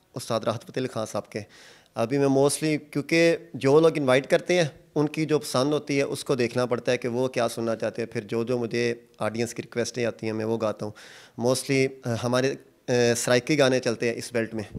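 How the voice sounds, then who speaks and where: Here is a man with a plain, everyday voice, medium in pitch and fairly even in intonation. He speaks at a moderate pace against a quiet background. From Pakistan, rural Punjab. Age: 30s. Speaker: singer and charpai weaver; interviewee. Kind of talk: casual interview. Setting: outdoors in a village. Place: workshop. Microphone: handheld.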